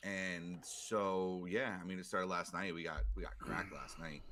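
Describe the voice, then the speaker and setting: Through vocal fry, a man with a very deep, low voice and a bright, sharp tone speaks at a moderate pace with lively intonation. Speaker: sports podcast co-host. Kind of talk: casual chat. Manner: speaking quietly.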